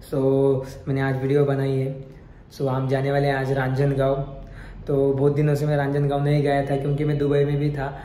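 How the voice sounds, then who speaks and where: A man with a fairly high pitch speaks in a monotone, flat intonation, with audible room echo. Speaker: vlogger and painter. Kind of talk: casual vlog narration.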